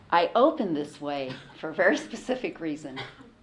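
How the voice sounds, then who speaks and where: A woman speaks with a General American accent in a fairly low pitch. Background noise is noticeable. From US West Coast. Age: 60s. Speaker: convert giving a talk. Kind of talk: talk to students.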